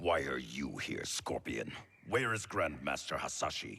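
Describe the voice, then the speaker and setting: A man growls in a put-on character voice. His pitch is very deep and low, and the pace is moderate. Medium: video game. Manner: curt, guarded.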